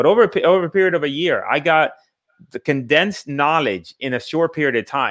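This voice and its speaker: A man with fairly high pitch and ordinary pitch variation talks at a fairly quick pace in an unremarkable speaking voice. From Puerto Rico, then Bridgeport, Connecticut. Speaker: real estate investor and coach. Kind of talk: interview on live podcast.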